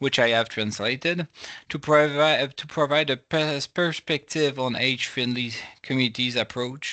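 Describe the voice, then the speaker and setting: In a French accent, a man talks at a moderate pace with a fairly high pitch and fairly even intonation. His tone is bright and sharp, and the sound is dry and close with no echo. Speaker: professor. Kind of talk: lecture. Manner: halting.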